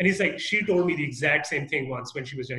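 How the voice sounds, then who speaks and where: A man's fairly high, fairly quick voice with lively intonation and audible room echo. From Canada. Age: young. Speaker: real estate investor; podcast guest or host. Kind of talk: interview. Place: home room. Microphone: video call.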